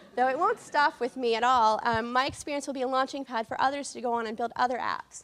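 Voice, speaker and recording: A woman with an American accent talks at a high pitch and a fairly quick pace. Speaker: language technologist. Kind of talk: conference talk. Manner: fast.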